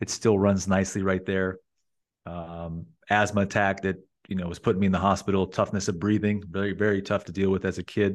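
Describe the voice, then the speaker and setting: With an American accent, a man talks at a fairly quick pace in a fairly low, flat monotone over a quiet background. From Las Vegas, US. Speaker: entrepreneur and sales coach. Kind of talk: casual interview conversation. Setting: remote recording with own mic setup. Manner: clear, concise, articulate.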